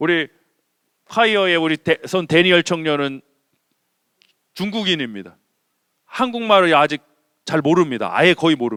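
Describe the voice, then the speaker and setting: Bright and sharp in tone, an animated voice with a Chungcheong accent moves at a moderate pace with lively intonation and long, frequent pauses, the sound dry and close with no echo. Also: man, fairly high pitch for a man. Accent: Chungcheong dialect Korean. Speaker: senior pastor. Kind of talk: sermon. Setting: church.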